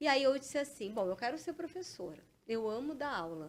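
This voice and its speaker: A woman is talking here. She moves along fairly quickly. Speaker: police chief and exam-prep mentor. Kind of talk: interview. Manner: fast; animated.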